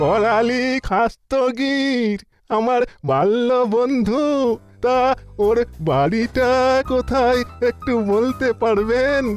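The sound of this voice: With faint music in the background, a cartoonish character voice talks at a very slow pace. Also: man, extremely high pitch for a man.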